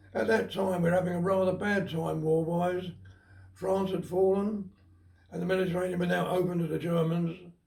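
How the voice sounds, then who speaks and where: This man speaks at a fairly quick pace with a high pitch and a monotone, flat intonation. Some room echo can be heard. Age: 90s. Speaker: war veteran. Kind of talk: testimony. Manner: halting.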